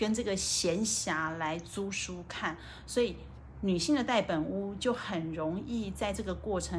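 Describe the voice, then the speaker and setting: A woman with a Taiwanese accent, with audible room echo around her voice. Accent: Taiwanese Mandarin. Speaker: livestream host. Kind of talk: livestream book talk. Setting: hotel room. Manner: casual, slightly halting.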